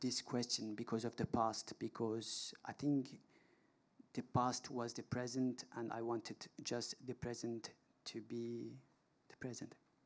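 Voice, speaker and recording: The man's voice has a dark, mellow tone. He talks at a fairly slow pace. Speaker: documentary filmmaker. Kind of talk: panel discussion answer. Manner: halting. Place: stage. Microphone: handheld.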